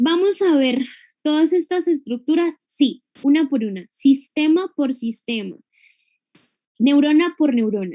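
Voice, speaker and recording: A woman with a high pitch and a dark, mellow tone speaks at a fairly slow pace with lively intonation and long, frequent pauses, in a dry, close sound with no echo. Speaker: university lecturer. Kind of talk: lecture.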